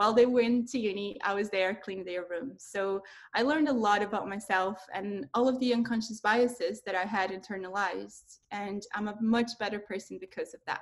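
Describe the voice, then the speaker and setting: A woman with a Portuguese accent speaks at a moderate pace and medium pitch, with fairly even intonation and hardly any pauses. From Brazil. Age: 30s. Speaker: tech professional. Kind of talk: webinar talk.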